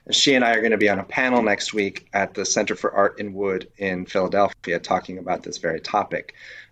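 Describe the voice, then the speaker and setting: A man speaks at a moderate pace in a plain, everyday voice, his pitch fairly low. His intonation stays fairly even against a quiet background. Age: 40s. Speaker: wooden boatbuilder and winery executive. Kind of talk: casual interview.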